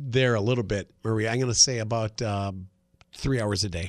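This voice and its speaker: The man speaks fairly quickly at medium pitch. It is a normal speaking voice with fairly even intonation. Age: 50s. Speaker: radio host. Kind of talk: casual chat. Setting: studio.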